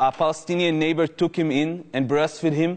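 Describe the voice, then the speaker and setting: Talking at a very fast pace, a man has an Israeli accent. His intonation stays fairly even. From Jerusalem, Israel. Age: 20s. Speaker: former Israeli combat soldier, activist. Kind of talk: public talk to an audience.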